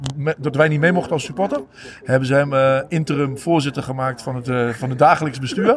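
Somewhat breathy and fairly high in pitch, a man speaks at a fairly quick pace with ordinary pitch variation and big swings in loudness. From Deventer, eastern Netherlands. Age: 40s. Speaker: football supporter. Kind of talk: casual interview. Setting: walking under the stadium stand.

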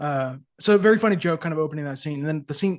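With an American accent, a man talks very fast at a fairly high pitch, his pitch varying in an ordinary way over a quiet background. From Texas, suburban metro. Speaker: podcast guest, film fan. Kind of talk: casual chat. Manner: halting.

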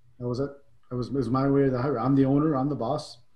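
Somewhat breathy, a man talks at a medium pitch. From immigrant to Canada at age 10. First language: not English. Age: 50s. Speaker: author and coach. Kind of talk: casual interview.

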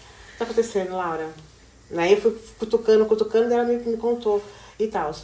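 This woman's voice sits fairly high in pitch, moving at a fairly quick pace with ordinary pitch variation. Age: 40s. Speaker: hairdresser and educational counselor. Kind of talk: casual chat.

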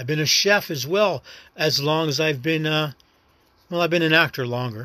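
A man with an American accent speaks in a bright, sharp tone with ordinary pitch variation. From New York City. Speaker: actor and first-time podcaster. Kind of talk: casual solo monologue. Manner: rambling, reflective, halting.

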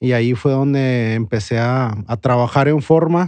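The man's voice has a dark, mellow tone, medium pitch and ordinary pitch variation. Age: 40s. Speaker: bar owner. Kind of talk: interview.

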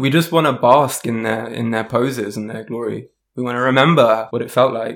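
Fairly even intonation from a man at medium pitch, at a fairly quick pace. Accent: South London. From South London, England. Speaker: musician, singer, songwriter, DJ. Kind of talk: casual chat, podcast conversation.

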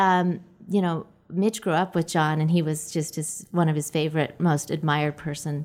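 With an American accent, a woman speaks at a moderate pace in a fairly low voice with fairly even intonation, in a very clean recording with a silent background. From Utah (Orem). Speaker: nonprofit founder. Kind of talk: interview.

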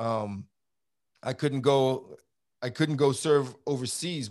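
A man with a fairly high voice and a New York accent, ordinary pitch variation, on a very clean recording with a silent background. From Brooklyn, New York. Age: 50s. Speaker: former border patrol agent. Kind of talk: interview. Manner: animated.

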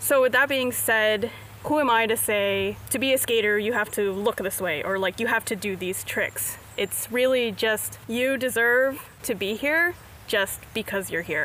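A woman with an American accent speaks at a fairly slow pace in a fairly high pitch, with ordinary pitch variation and a plain, everyday voice. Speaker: skateboarder. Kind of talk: interview. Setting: outdoors.

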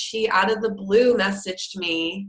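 Spoken at a moderate pace with fairly even intonation. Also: woman. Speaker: business coach. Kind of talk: interview testimony. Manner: tends to mumble some words.

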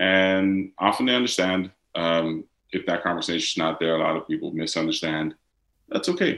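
With a Dutch accent and a very deep, low pitch, a man speaks on a very clean recording with a silent background. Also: ordinary pitch variation, moderate pace. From Netherlands. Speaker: actor and model. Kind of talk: interview conversation.

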